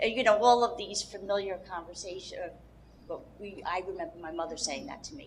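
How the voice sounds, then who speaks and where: A woman's medium-pitched voice at a fairly quick pace, with lively intonation, big swings in loudness and noticeable background noise. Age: 60s. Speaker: audience member asking a question. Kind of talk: audience question.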